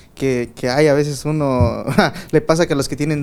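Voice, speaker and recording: There is noticeable background noise behind this man. He talks at a very fast pace with a fairly high pitch. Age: 20s. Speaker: podcast host. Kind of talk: casual chat.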